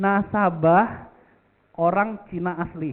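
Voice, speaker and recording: A man with a Jakarta accent. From Jakarta, Indonesia. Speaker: insurance agency director and motivational speaker. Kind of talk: motivational talk. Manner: casual, many fillers.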